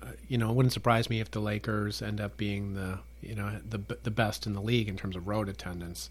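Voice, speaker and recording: A fairly low-pitched, somewhat breathy male voice at a fairly quick pace, with ordinary pitch variation. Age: 50s. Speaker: podcast host and marketing professor. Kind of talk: casual chat.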